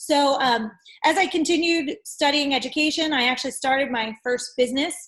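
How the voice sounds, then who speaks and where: With an American accent, a woman speaks at a high pitch with ordinary pitch variation. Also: fairly quick pace. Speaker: entrepreneur. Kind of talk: interview. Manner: animated.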